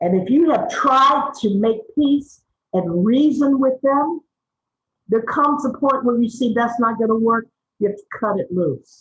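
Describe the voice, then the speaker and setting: A woman at a high pitch, fairly slow pace, animated tone and lively intonation. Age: 60s. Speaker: media trainer and activist. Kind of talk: webinar talk.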